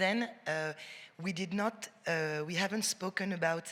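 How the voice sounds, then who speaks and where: A woman with a French accent talks at a fairly slow pace. Her pitch is fairly low and her intonation fairly even. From France. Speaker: cultural administrator. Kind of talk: panel discussion.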